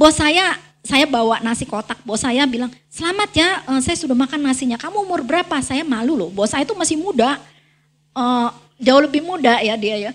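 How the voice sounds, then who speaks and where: A woman's high-pitched voice with lively intonation at a fairly quick pace. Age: 60s. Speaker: guest preacher. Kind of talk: sermon.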